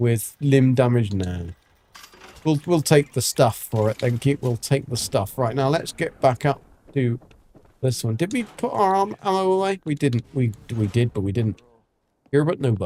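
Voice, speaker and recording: A man's dark, mellow voice moves with lively intonation in a dry, close sound with no echo. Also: medium pitch for a man, moderate pace. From England. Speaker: gaming streamer. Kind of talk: live gameplay commentary.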